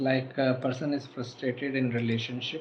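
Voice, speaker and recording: Delivered at a moderate pace in a monotone, flat intonation, the voice comes through noticeable background noise. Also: man. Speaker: astrologer. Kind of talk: live stream Q&A. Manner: soft-spoken; halting.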